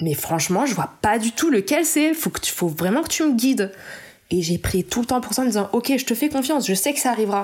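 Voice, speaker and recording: Very wide pitch swings mark this fairly high female voice. She speaks at a fairly quick pace. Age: 30s. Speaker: illustrator. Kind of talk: interview. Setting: at home.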